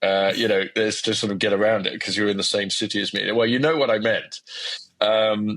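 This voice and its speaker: Fairly brisk speech from a man with an English accent. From England. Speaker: academic scientist, podcast co-host. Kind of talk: casual conversation. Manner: hesitant, many repetitions and fillers.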